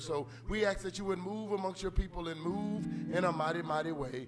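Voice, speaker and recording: A man speaks in a high pitch at a fairly quick pace with ordinary pitch variation. Clear music plays in the background. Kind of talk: call to worship and prayer. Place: church.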